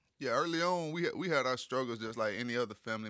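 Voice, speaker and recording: Recorded very cleanly with a silent background, a man with an American accent speaks in a bright, sharp tone. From Lakeland, Florida. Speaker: former college football player. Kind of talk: interview, personal story.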